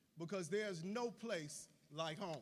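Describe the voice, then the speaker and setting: A man with an American accent speaks with lively intonation over noticeable background noise. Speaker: university president. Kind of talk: convocation speech.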